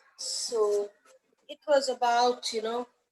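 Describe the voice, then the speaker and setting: A woman speaks with a high pitch. The sound is dry and close, with no echo. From India, Kolkata (West Bengal). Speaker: school principal. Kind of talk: interview conversation. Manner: animated storytelling.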